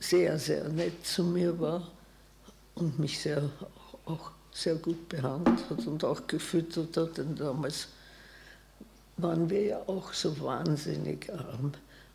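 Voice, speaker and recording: A woman speaks at a very slow pace in a very deep, low voice with ordinary pitch variation. Light background noise is audible. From Vienna, Austria; Austria. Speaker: Holocaust survivor, physician, eyewitness; witness. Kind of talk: eyewitness talk. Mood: calm, reflective.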